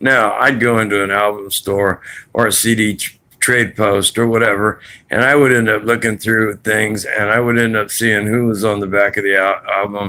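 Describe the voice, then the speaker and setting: A man's fairly low voice with a bright, sharp tone and monotone, flat intonation. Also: moderate pace. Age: 60s. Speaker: vlogger. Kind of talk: casual monologue. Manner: rambling conversational.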